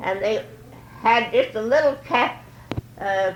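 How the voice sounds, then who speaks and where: Very slow, lively speech in an American accent over noticeable background noise. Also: woman. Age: 80s+. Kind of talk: oral history interview answer.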